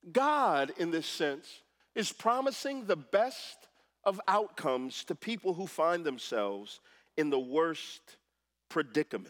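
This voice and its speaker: A man with an American accent speaks fairly slowly in a high pitch, his pitch swinging very widely, in a very clean recording with a silent background. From Texas. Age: 30s. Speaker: former pastor, guest preacher. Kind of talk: sermon. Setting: church.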